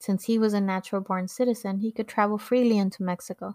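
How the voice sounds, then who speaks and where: A woman with a Californian accent speaks at a fairly quick pace in a medium pitch, her intonation monotone and flat, on a very clean recording with a silent background and a dry, close sound with no echo. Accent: Californian American English. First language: Spanish. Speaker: podcast host. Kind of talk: personal storytelling narration.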